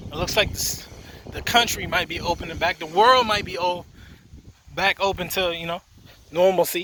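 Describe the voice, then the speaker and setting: Long, frequent pauses break up speech at a moderate pace, with noticeable background noise throughout. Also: man, high pitch for a man. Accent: American. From US Virgin Islands, left at eight, grew up in Maryland, US. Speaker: fitness instructor. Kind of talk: casual vlog while walking. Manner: casual, with filler words.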